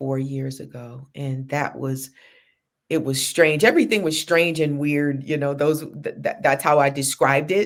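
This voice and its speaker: A woman talks at a fairly slow pace. Her pitch is very deep and low. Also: very clean recording, silent background. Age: 50s. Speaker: social worker and spiritual circle leader. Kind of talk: casual chat. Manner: animated.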